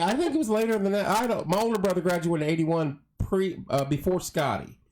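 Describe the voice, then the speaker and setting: With an American accent, a man talks in a high pitch at a fairly quick pace, his intonation lively. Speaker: talk show host. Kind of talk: casual chat. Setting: studio.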